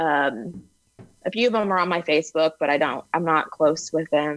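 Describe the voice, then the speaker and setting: Recorded with a dry, close sound and no echo, a woman with an American accent speaks in a fairly low pitch. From US Texas. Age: 30s. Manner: monotone; unanimated.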